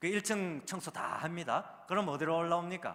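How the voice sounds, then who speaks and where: The voice has a bright, sharp tone and a Gyeongsang accent. Vocal fry runs through it. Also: man. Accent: Gyeongsang dialect intonation. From South Korea, Daegu (Gyeongsang). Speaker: pastor and seminary professor. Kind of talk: sermon. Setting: church service with congregation. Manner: conversational, engages audience.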